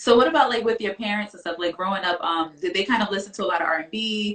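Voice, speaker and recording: This voice belongs to a woman at a medium pitch. Her pitch varies in an ordinary way. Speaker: interview show host. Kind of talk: casual interview. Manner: fast.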